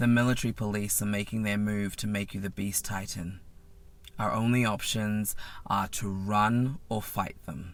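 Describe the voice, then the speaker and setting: A man uses a put-on character voice that sounds strained, with a fairly low pitch. He keeps a moderate pace and fairly even intonation. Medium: read story. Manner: serious, strained.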